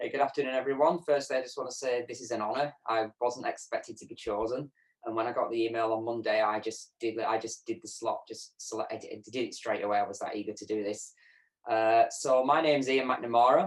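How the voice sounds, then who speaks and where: Speaking fairly quickly, a man talks in a northern English accent. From northern England, Lancashire. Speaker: program graduate, accessibility analyst. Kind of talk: interview testimony.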